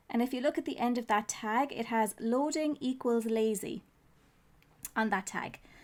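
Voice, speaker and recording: With an Irish accent, a woman speaks fairly slowly at a fairly high pitch, her pitch varying in an ordinary way. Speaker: web designer, SEO teacher. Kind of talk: tutorial talk to camera. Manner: casual.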